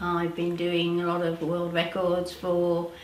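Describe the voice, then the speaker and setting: The speech moves at a fairly slow pace. Noticeable background noise and audible room echo fill the recording. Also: woman. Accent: British. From Britain. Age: 70s. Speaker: powerlifter and nutrition practitioner. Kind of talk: interview testimony. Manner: hesitant, many fillers.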